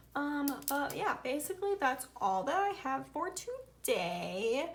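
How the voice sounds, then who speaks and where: A woman's high voice in a Southern US accent, with very wide pitch swings at a very slow pace. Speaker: budgeting vlogger. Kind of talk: casual tutorial. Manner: casual, thinking aloud while counting.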